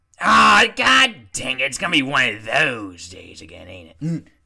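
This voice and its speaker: In a put-on character voice, a man speaks with a raspy sound at a medium pitch. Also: moderate pace. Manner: weary, complaining.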